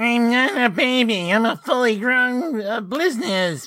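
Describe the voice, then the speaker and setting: Nasal and whiny, a female-sounding put-on character voice speaks at a fairly slow pace in a high pitch. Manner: indignant.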